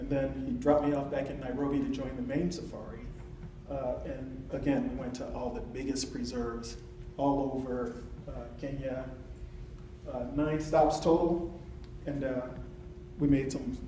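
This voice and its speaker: There are long, frequent pauses as a man speaks, with audible room echo and light background noise. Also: moderate pace. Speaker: presenter. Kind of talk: presentation talk.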